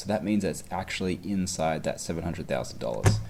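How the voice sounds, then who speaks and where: A man speaks with vocal fry in a very deep, low pitch at a fairly quick pace. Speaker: exam tutor. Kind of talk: tutorial.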